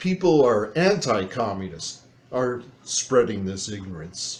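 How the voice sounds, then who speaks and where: A somewhat breathy male voice at a fairly slow pace, with very wide pitch swings. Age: 60s. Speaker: political commentator reacting to video. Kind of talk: reaction commentary. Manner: animated.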